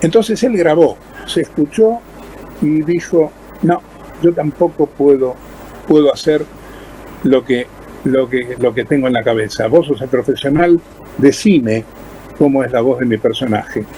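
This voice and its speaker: With an Argentine accent, a man speaks at a fairly slow pace, pitched fairly high, with lively intonation and long, frequent pauses. Noticeable background noise sits behind him. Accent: Argentine Spanish (Rioplatense). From Argentina. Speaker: voice actor. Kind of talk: interview answer.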